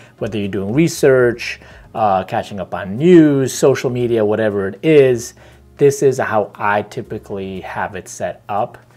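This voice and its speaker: There is music in the background as a man speaks with ordinary pitch variation. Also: medium pitch for a man, fairly slow pace, big swings in loudness. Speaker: tech reviewer. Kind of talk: tutorial. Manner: deliberately slow.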